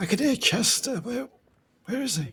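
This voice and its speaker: At a moderate pace, the speaker performs a put-on character voice with a fairly high pitch. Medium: game stream. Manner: fretful.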